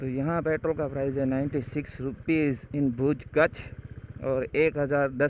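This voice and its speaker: Over noticeable background noise, a man talks in a fairly high pitch with monotone, flat intonation. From India, Kutch, Gujarat. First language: Kutchi / Gujarati (speaking Hindi). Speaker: travel vlogger. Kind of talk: travel vlog narration. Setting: outdoors on a motorbike.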